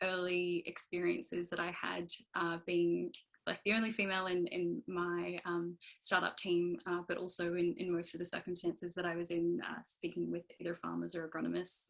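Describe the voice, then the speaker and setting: A woman speaks with a strong Australian accent at a fairly low pitch and a moderate pace. Her intonation is monotone and flat, on a very clean recording with a silent background. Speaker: engineer on a panel. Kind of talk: panel discussion. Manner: halting, many fillers.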